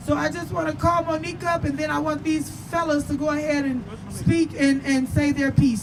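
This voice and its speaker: The speech moves at a fairly quick pace with crowd noise in the background. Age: 30s. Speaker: activist organizing a protest. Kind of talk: protest speech. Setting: outdoor protest rally.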